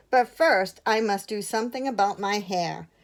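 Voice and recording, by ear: Someone is reading aloud in a natural voice, and the pitch variation is ordinary.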